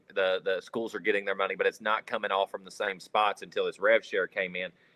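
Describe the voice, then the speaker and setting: With a strong Kentucky accent, a man speaks fairly quickly in a fairly low pitch. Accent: strong rural Kentucky. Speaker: sports reporter and panelist. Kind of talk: sports talk roundtable. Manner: animated, repeats words.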